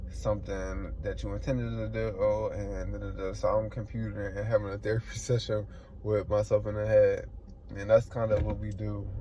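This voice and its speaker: The quiet voice speaks at a moderate pace. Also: man. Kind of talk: casual talk to camera. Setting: in a car while driving. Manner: quiet, low volume.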